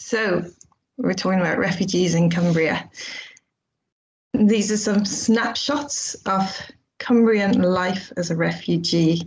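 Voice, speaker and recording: A woman's medium-pitched, somewhat breathy voice in an Irish accent, very slow with long, frequent pauses and ordinary pitch variation. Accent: Irish, kept after years in England. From Ireland, Dublin. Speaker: charity development officer. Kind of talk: conference presentation. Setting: video call.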